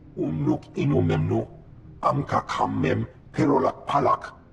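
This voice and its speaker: A man uses a put-on character voice at a moderate pace against clear background noise. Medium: video game.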